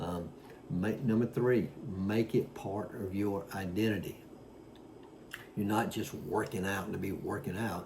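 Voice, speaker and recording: Audible room echo surrounds a man speaking at a fairly slow pace with long, frequent pauses. His pitch is fairly low. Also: fairly even intonation. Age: 60s. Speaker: fitness vlogger. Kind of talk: casual talk to camera. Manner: halting with many fillers.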